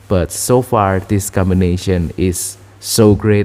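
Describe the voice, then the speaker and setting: Music plays behind a man's fairly low voice. He keeps a fairly even intonation. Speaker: vlogger. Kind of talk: casual talk to camera. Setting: at home. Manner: halting, many fillers.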